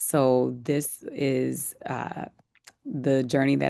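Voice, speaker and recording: A woman speaks with a New Orleans accent. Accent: New Orleans Southern US. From US South, New Orleans. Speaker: wine company founder. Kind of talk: interview. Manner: halting.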